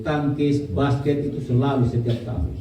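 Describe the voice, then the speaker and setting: Over audible room echo, a man speaks at a moderate pace with fairly even intonation. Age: 50s. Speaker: prosecutor, award recipient. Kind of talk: acceptance speech at anniversary event.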